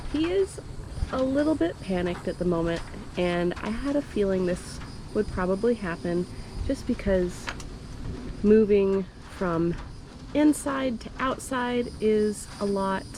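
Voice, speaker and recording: Over noticeable background noise, a woman at a medium pitch speaks at a fairly slow pace with lively intonation and long, frequent pauses. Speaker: reptile keeper and video creator. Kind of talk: casual vlog narration.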